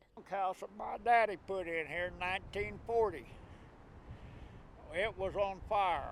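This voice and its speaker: Speaking in a US Plains accent, a man with a high pitch keeps his intonation fairly even and takes long, frequent pauses. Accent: rural US Plains. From southwest Kansas. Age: 70s. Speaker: farmer. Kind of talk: interview. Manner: halting.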